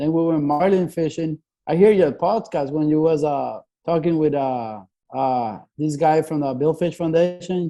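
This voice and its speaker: Against a quiet background, a man talks at a fairly slow pace in a dark, mellow tone. His pitch is fairly high, with ordinary pitch variation. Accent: Spanish. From Venezuela, Puerto La Cruz. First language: Spanish. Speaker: fishing boat mate. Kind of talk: casual chat.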